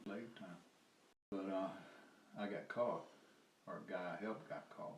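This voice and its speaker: A man with a Southern US accent, fairly low in pitch, at a fairly quick pace, with audible room echo. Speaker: former lawyer and activist. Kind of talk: casual storytelling interview. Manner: halting, with many fillers and restarts.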